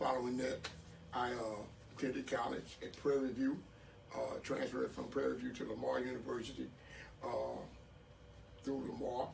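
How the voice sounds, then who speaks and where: A man with an American accent talks at a moderate pace with long, frequent pauses, audible room echo and noticeable background noise. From Texas, Port Arthur. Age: 60s. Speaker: mayoral candidate. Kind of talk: interview. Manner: hesitant, many fillers.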